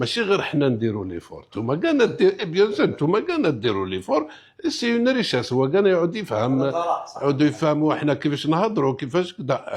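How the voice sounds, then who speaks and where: Heard over noticeable background noise, the speaker talks at a fairly quick pace with an Algerian accent and very wide pitch swings. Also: man, fairly high pitch for a man. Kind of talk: interview answer mixing French.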